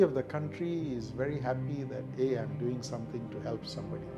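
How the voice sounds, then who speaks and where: A man talks at a moderate pace. There is music in the background. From Malaysia. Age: 60s. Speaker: cardiothoracic surgeon. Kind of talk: interview answer.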